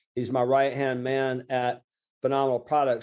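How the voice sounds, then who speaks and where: This man has a fairly high pitch and a dark, mellow tone. He speaks with a Southern US accent. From Lower Alabama, USA. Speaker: small business coach and author. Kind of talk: interview answer. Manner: casual, conversational.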